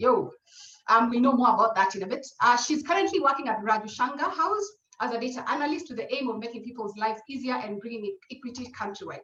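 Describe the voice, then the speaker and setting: A woman speaks in a raised, projected voice at a high pitch. She goes at a very fast pace. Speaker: webinar moderator. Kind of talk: panel webinar introduction.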